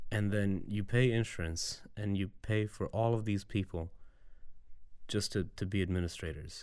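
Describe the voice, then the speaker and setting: A normal speaking voice at a moderate pace, with very even loudness, fairly even intonation and a very clean recording over a silent background. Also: man, fairly low pitch for a man. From Serbia, moved to US Midwest at seven. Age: 30s. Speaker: voter, immigrant. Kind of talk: interview. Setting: studio.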